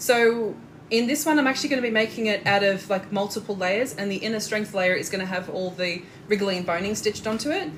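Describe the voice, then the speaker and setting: A fairly high-pitched woman with a strong Australian accent and ordinary pitch variation, amid noticeable background noise. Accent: Australian, thick. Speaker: corset maker and sewing teacher. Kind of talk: live tutorial. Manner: casual, hesitant with fillers; talkative.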